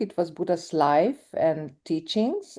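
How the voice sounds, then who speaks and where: Over a quiet background, a woman with a Hungarian accent speaks at a fairly slow pace in a dark, mellow tone. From Hungarian minority in Romania. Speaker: documentary film director. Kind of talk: interview conversation. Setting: live event with audience. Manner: halting.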